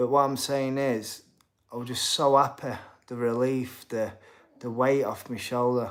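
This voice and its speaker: Monotone and flat, a man speaks at a medium pitch in a Yorkshire accent. Room echo is audible. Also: fairly slow pace. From Yorkshire, Sheffield. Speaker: boxer and streamer. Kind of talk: live stream chat reading comments. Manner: casual.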